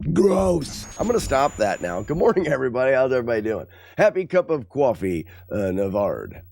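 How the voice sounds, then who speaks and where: A man at a medium pitch, fairly quick, with very wide pitch swings and vocal fry. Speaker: gaming streamer. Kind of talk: casual chat.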